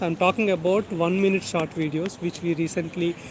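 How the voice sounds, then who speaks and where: A man with a Telugu accent speaks in a high pitch at a moderate pace. Noticeable background noise runs underneath. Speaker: YouTube tech educator. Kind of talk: livestream chat with viewers. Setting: outdoors, walking.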